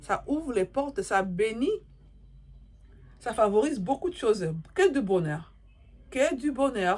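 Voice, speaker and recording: A woman speaks at a very slow pace, her pitch swinging very widely. Long, frequent pauses break up her speech. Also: fairly high pitch for a woman. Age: 40s. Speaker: YouTuber giving life advice. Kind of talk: moral advice monologue to camera. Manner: repetitive, emphatic.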